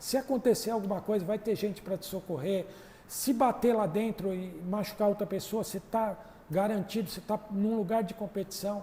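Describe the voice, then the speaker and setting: Speaking at a moderate pace, a man with a high voice and a dark, mellow tone keeps his intonation fairly even. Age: 60s. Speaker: drag racing mechanic. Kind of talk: casual chat.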